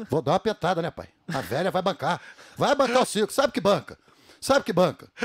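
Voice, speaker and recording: A man with a high voice speaks at a fairly quick pace, his pitch swinging very widely, with long, frequent pauses and a dry, close sound with no echo. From Rio de Janeiro state, Brazil (Itaipuaçu, near Niterói). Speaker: comedian impersonator. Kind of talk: casual chat.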